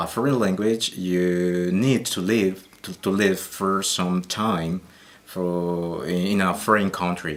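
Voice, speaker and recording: Speaking at a very slow pace, a man with a Colombian accent uses a fairly low pitch. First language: Spanish. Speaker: Spanish teacher. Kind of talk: interview. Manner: halting, many fillers.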